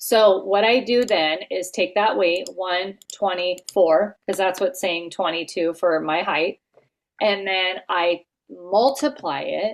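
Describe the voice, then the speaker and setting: This woman's voice sits at a medium pitch. She speaks very slowly. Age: 50s. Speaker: health coach trainer. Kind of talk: casual coaching call tutorial.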